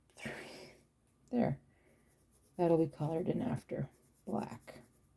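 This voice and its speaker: The voice has a dark, mellow tone with vocal fry and lively intonation. It moves at a fairly slow pace. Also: woman, fairly low pitch for a woman. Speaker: watercolour art tutor. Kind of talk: tutorial. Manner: casual, thinking aloud.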